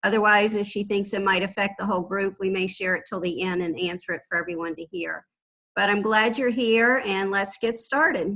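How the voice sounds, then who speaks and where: A woman talks at a fairly quick pace with a medium pitch and ordinary pitch variation. Her tone is bright and sharp. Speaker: finance staff presenter. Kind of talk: training webinar presentation. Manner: fast.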